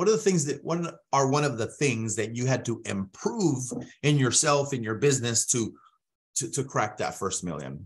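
The voice has lively intonation and vocal fry. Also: man, medium pitch for a man, moderate pace. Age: 30s. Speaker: podcast host. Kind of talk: sales pitch; interview.

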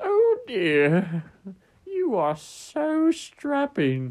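A female-sounding voice puts on a character voice at a high pitch.

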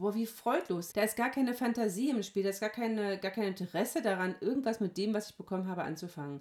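A woman at medium pitch, talking very fast with hardly any pauses and ordinary pitch variation. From Hesse, Germany. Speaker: pastor. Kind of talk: casual chat.

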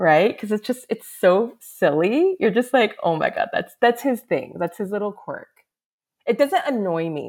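Her pitch is fairly high and makes very wide swings. This woman with an American accent speaks at a fairly slow pace. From United States, Korean American. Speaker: K-reality social media creator. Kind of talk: casual chat.

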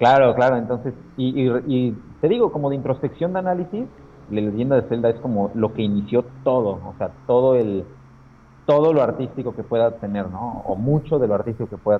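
An ordinary speaking voice from a man at a medium pitch, with ordinary pitch variation, big swings in loudness and a fairly quick pace. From Mexico, Aguascalientes. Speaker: comic illustrator. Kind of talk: casual interview chat.

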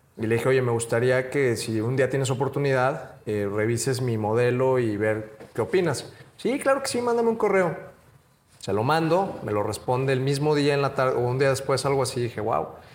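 A man at medium pitch, ordinary pitch variation, a moderate pace, and audible room echo. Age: young. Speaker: entrepreneur. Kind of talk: casual interview.

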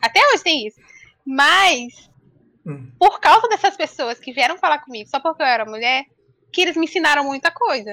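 A woman uses a raised, projected voice with a bright, sharp tone, high pitch and very wide pitch swings, at a moderate pace. Her loudness swings widely, and the sound is dry and close with no echo. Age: 20s. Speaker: game streamer and architecture student. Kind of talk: casual chat. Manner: nervous, shaky.

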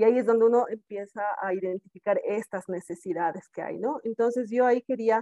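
The voice has a dark, mellow tone and ordinary pitch variation at a moderate pace, with a dry, close sound and no echo. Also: woman. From South America. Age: adult. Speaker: podcast host, adoptee. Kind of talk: casual chat.

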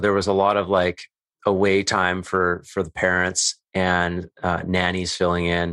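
A man speaks at a fairly slow pace in a very deep, low pitch with a bright, sharp tone. The sound is dry and close with no echo, over a quiet background. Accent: Western Canadian. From Canadian prairies (Calgary, Alberta). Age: 30s. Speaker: men's work coach and podcaster. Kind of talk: casual interview conversation.

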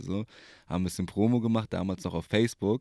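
A man talking very fast in a very clean recording, the background silent. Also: dry, close sound with no echo. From Berlin. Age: 20s. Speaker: DJ and personal trainer. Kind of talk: casual chat. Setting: recording booth in coworking space.

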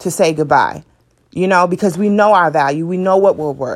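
A woman speaks in an unremarkable speaking voice. Her pitch sits fairly low, with ordinary variation. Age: 20s. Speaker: podcast host. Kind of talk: casual monologue.

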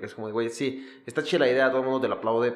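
A man speaks over noticeable background noise. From Mexico (Ecatepec, State of Mexico). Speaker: podcast host, comedian and DJ. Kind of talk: casual chat.

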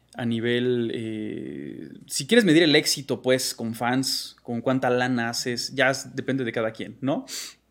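A man's medium-pitched, unremarkable speaking voice on a very clean recording with a silent background. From Mexico, Salamanca, Guanajuato. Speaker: graphic designer and digital artist. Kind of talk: interview.

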